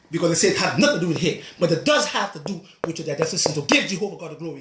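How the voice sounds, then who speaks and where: A man's high-pitched, animated voice at a very fast pace, with lively intonation over noticeable background noise. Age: 60s. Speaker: natural health practitioner. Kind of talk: video monologue.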